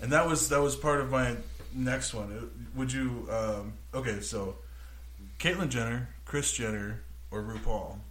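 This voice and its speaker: Against noticeable background noise, a man with an American accent speaks fairly slowly, pausing long and often. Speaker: podcast co-host. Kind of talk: casual chat. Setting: studio. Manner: loud.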